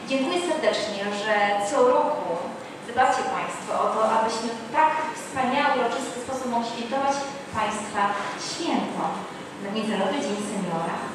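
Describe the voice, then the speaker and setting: A woman at a moderate pace, with ordinary pitch variation and long, frequent pauses, amid strong room echo and noticeable background noise. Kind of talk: formal ceremonial speech. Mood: warm, celebratory. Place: hall.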